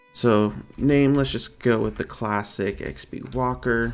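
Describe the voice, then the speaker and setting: A soft-spoken man talks over music in the background. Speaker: gaming streamer. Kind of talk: gameplay commentary. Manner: quiet, soft-spoken; hesitant, filler-heavy.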